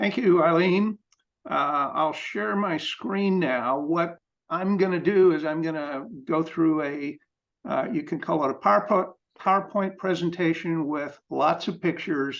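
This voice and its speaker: A man with a Midwestern American accent and a high voice, speaking at a fairly slow pace against a quiet background. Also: ordinary pitch variation. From US Midwest, Evansville, Indiana. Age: 70s. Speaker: photographer and amateur racing driver. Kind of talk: presentation talk. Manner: hesitant, with fillers.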